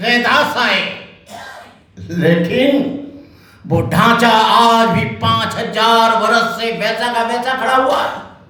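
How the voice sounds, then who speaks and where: A man speaks in a raised, projected voice. Noticeable background noise and audible room echo are present. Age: 70s. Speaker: Buddhist monk. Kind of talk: political speech. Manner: fiery, impassioned.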